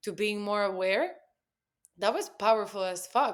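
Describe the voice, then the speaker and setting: The recording is very clean, and the background is silent. A woman talks in a Spanish accent. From Spain. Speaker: copywriter and poet. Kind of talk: casual chat.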